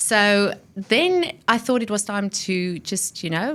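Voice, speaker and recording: The recording is very clean with a silent background, carrying a woman's medium-pitched voice. She sounds animated and energetic, with lively intonation. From South Africa. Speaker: technology and innovation executive. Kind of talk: interview. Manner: animated, energetic.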